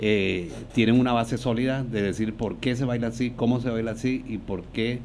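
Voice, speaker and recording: A man with a Colombian Caribbean accent and a medium-pitched voice. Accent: Colombian Caribbean (costeño) Spanish. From Colombian Caribbean coast, Barranquilla (born Venezuela, moved at 10). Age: 60s. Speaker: dancer, choreographer and dance teacher. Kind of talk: podcast interview.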